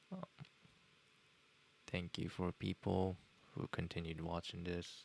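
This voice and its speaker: The delivery is monotone and flat, at a fairly slow pace. The sound is dry and close with no echo. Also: man, very deep, low pitch for a man. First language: Japanese. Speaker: software tutorial streamer. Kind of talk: live tutorial. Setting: live stream. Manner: halting, many fillers.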